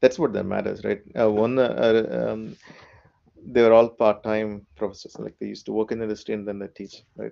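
Loudness swings widely as a man with a Keralan accent speaks at a moderate pace, his fairly low voice dark and mellow in tone, with fairly even intonation. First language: Malayalam. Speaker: software architect. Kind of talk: casual interview. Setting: video call.

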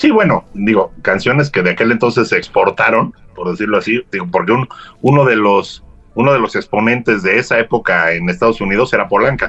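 With music in the background, a medium-pitched man speaks at a fairly quick pace and ordinary pitch variation. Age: 60s. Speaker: guest. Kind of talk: casual chat.

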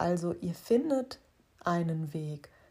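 A woman speaks at a very slow pace. Her fairly low voice is somewhat breathy. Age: 40s. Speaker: life coach and podcast host. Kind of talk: solo podcast monologue. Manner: hesitant fillers.

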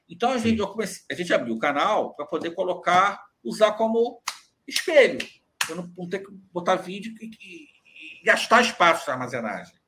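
A man's raised, projected voice with a bright, sharp tone and high pitch, very wide pitch swings, big swings in loudness, and a moderate pace. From Rio de Janeiro, Brazil (Cascadura, north zone). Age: 40s. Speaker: carnival journalist and commentator. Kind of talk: casual interview chat. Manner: halting, frequent repetitions.

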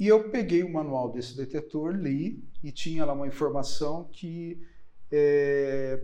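Amid audible room echo, a man speaks very slowly in a dark, mellow tone, his pitch fairly high with ordinary variation. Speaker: chemist, analytical services company head. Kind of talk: interview conversation. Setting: his company's premises, in person. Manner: halting.

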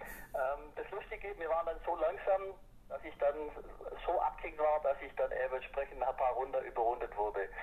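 A man talks at a moderate pace, and noticeable background noise is present throughout. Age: 40s. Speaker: amateur cycling racer. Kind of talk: casual interview. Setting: phone call.

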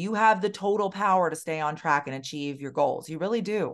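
Speaking at a moderate pace, a woman uses a plain, everyday voice. Her pitch is medium, with ordinary variation. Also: quiet background. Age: 40s. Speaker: weight loss specialist and podcast host. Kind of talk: solo podcast monologue. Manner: casual, conversational.

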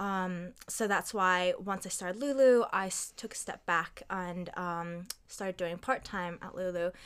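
In a plain, everyday voice, a woman talks at a fairly slow pace with hardly any pauses, her medium pitch showing ordinary variation. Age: 20s. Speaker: master's student and retail community leader. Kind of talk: casual chat.

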